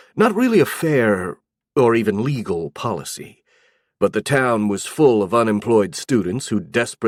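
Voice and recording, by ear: A quiet background behind natural-voiced reading aloud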